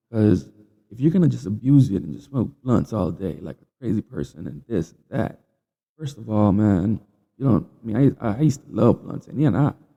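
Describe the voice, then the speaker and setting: This man's pitch swings very widely. He talks at a moderate pace. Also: fairly low pitch for a man. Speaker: podcast host. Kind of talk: casual monologue. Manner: halting.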